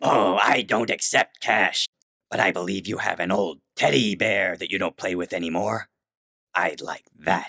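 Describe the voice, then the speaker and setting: In a put-on character voice, a man growls at a very deep, low pitch, gravelly and at a moderate pace. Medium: read story. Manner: firm, cryptic.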